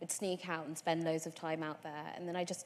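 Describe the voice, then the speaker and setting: A woman speaks with fairly low pitch and fairly even intonation. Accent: London. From London, Tottenham. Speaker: environmentalist. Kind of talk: panel discussion.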